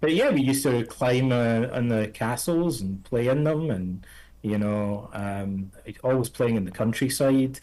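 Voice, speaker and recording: Speaking fairly slowly in a Scottish accent, a man has a dark, mellow, medium-pitched voice with ordinary pitch variation. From Scotland, Ayr (south of Glasgow). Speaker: psychotherapist and author. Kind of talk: podcast interview.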